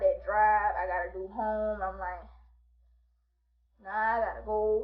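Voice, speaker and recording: Her tone animated and her pitch fairly high, a woman talks at a moderate pace with audible room echo. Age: 20s. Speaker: vlogger. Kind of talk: storytime monologue.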